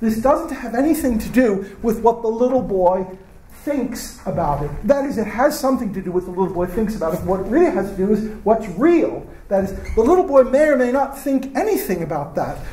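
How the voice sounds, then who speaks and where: Amid noticeable background noise and audible room echo, a man with an American accent talks at a fairly quick pace in a high-pitched voice. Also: lively intonation. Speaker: professor. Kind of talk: lecture. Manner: halting.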